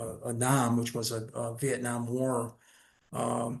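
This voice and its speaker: Against a quiet background, a man speaks in a somewhat breathy voice at a medium pitch. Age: 70s. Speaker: retired lawyer investigator and playwright. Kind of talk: casual interview chat.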